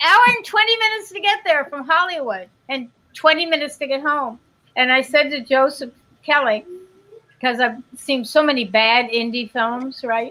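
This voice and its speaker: A woman speaks in a high, raised and projected voice with a bright, sharp tone. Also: lively intonation, moderate pace. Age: 50s. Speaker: actress. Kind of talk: casual chat.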